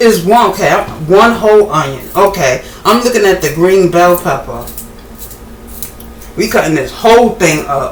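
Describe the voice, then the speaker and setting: Amid noticeable background noise and audible room echo, a woman speaks at a medium pitch and a fairly slow pace. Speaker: home cooking vlogger. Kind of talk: casual cooking tutorial. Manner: casual, halting with fillers.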